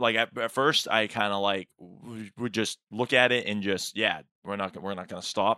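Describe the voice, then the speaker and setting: The voice has a bright, sharp tone. It comes through on a very clean recording with a silent background and a dry, close sound with no echo. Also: man. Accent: American. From Massachusetts, outside Boston. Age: 30s. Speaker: stand-up comedian. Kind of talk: casual chat. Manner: halting, many fillers and repeats.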